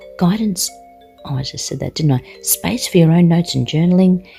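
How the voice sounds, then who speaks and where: Dark and mellow in tone, a woman's voice comes out somewhat breathy. She speaks with an Australian accent and ordinary pitch variation. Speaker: witchcraft channel host, product reviewer. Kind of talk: product review. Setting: home, others asleep. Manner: casual, self-correcting.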